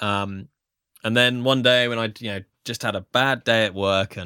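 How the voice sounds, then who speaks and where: With a British accent, a man speaks in a bright, sharp tone, the sound dry and close with no echo on a very clean recording with a silent background. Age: 30s. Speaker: voiceover artist. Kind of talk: casual interview.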